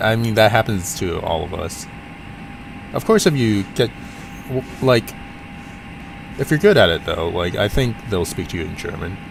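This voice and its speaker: A man's fairly low voice with a Cantonese accent and lively intonation, at a moderate pace with long, frequent pauses amid noticeable background noise. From US, Portland, Oregon. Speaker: flight sim streamer. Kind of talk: casual live stream chat. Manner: halting.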